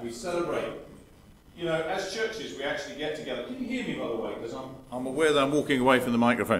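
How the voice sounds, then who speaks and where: A man's fairly high-pitched voice comes through with noticeable background noise and audible room echo. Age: 50s. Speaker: guest preacher. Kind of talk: sermon. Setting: church service with congregation. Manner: interactive, asking the congregation questions.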